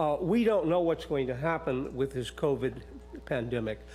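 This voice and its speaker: A man talks over background music. His pitch sits fairly high. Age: 80s+. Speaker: public commenter at county meeting. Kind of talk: public comment. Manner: halting.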